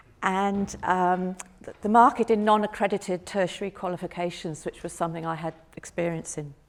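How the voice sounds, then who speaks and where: A woman with a British accent speaks fairly quickly at a medium pitch, her pitch varying in an ordinary way while her loudness swings widely. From United Kingdom. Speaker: retired accountant and history student. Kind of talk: conference talk.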